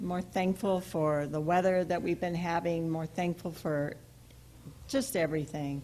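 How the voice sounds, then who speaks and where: Soft-spoken, a woman talks at a fairly low pitch with a dark, mellow tone. She goes at a fairly slow pace with ordinary pitch variation. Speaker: sabbath school teacher. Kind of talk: casual talk.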